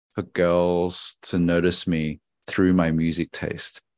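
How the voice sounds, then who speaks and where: Over a quiet background, a man with a very deep, low pitch talks at a very slow pace, the sound dry and close with no echo. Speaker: podcast host and radio DJ. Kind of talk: casual interview chat.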